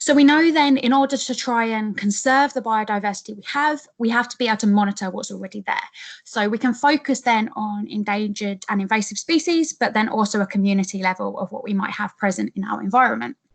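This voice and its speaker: A very fast, nearly pauseless woman's voice with an English accent, fairly high and somewhat breathy, with ordinary pitch variation. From England. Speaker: PhD researcher. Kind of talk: webinar presentation. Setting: online webinar. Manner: hesitant, many fillers.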